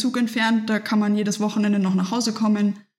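A woman speaks in a somewhat breathy voice. The recording is very clean, with a silent background. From Germany, Nuremberg (Franconia). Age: 20s. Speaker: professional triathlete. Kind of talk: interview, casual conversation. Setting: in person at her home.

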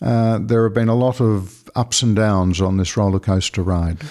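A man with an Australian accent speaks at a moderate pace, his fairly low voice dark and mellow, with ordinary pitch variation. The recording is very clean, with a silent background. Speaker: Jesuit priest and lawyer. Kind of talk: interview.

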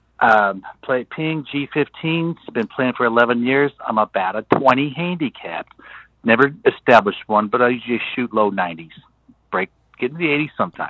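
Using lively intonation, a man with an American accent and a medium pitch talks in a plain, everyday voice. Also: moderate pace. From Texas. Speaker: caller. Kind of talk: voicemail message. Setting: phone call.

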